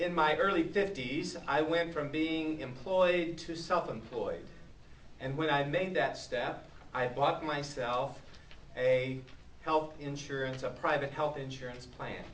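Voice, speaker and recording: A man speaks with a fairly high pitch and fairly even intonation. Noticeable background noise and audible room echo surround his voice. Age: 60s. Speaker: citizen giving testimony. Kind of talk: public testimony. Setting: public speak-out event.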